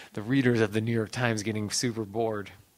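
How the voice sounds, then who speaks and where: At a moderate pace, a man talks with a Midwestern US accent. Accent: US Midwest. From rural Ohio, near Cleveland. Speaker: novelist; guest. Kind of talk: panel discussion. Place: hall.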